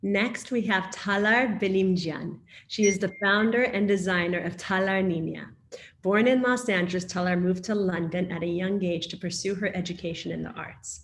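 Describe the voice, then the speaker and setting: A somewhat breathy woman with an American accent speaks with fairly even intonation. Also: medium pitch for a woman, moderate pace. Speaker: panel moderator. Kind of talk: moderated panel discussion, reading speaker introductions.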